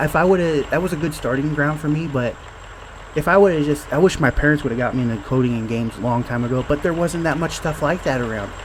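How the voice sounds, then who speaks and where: A man mumbles at a very fast pace in a fairly high pitch with ordinary pitch variation. Noticeable background noise is present. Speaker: indie game developer. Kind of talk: casual gameplay talk. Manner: mumbling; halting.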